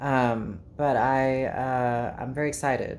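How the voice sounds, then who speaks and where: Recorded with audible room echo, a woman with a South African accent speaks at a very deep, low pitch. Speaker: YouTuber, vlogger. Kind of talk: casual vlog monologue.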